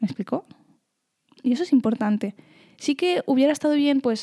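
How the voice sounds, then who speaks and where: A woman's dark, mellow voice at a fairly quick pace, with ordinary pitch variation and a dry, close sound with no echo. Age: 20s. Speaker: podcaster. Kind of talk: personal monologue. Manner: halting.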